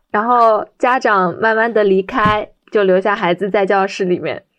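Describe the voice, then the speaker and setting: The woman's pitch is fairly high, with ordinary variation. She uses a normal speaking voice and keeps a moderate pace. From Shanghai, China. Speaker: special education teacher. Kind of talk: personal storytelling.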